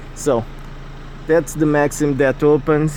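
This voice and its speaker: Noticeable background noise accompanies a man speaking with a non-native accent. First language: not English. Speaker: private car seller. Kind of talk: casual car walkaround talk to camera. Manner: hesitant, frequent fillers.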